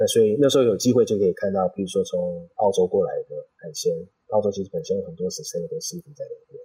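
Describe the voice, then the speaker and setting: A man talking at a very fast pace, with big swings in loudness. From Taipei, Taiwan, then San Jose, California from about age 10. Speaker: chef and restaurant founder. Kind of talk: interview.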